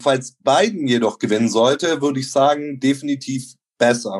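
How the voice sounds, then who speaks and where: A man's fairly high-pitched voice moves along at a moderate pace. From Bavaria, Germany (Neu-Ulm). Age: 30s. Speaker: local party member. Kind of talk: interview. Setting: online call. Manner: formal.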